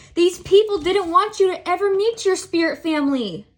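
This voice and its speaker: Moderately paced speech from a woman, her pitch varying in an ordinary way. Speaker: tarot reader. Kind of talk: tarot reading to camera. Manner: animated.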